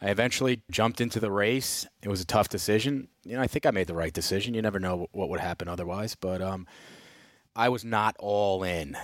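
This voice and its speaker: A man with an American accent talks at a fairly quick pace in a fairly low voice with ordinary pitch variation. It is a plain, everyday voice. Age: 40s. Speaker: state legislator. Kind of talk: interview. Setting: studio.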